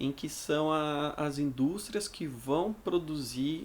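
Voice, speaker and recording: Speaking slowly, though not very slowly, a man has a normal speaking voice at a fairly high pitch. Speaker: school teacher. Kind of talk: lecture. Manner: casual, with fillers.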